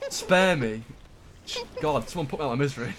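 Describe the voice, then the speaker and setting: With noticeable background noise behind him, a man talks very fast with lively intonation. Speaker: gaming streamer. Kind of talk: casual chat while gaming.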